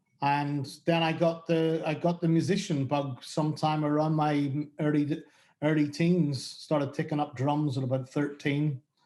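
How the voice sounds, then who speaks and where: A man with a strong Northern Irish accent speaks at a fairly high pitch in a dark, mellow tone, his intonation monotone and flat and his loudness very even. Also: moderate pace. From Northern Ireland. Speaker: music booking agent. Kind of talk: interview. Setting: video call. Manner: halting.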